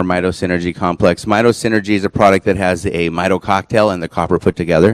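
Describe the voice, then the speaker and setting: Hardly pausing, a man with a very deep, low pitch talks very fast in fairly even intonation, with a dry, close sound and no echo. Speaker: presenter on nutrition supplements. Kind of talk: lecture.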